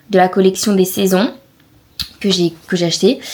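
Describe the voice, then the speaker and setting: Noticeable background noise behind a woman's medium-pitched voice. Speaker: vlogger. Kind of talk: casual vlog. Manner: hesitant, many fillers.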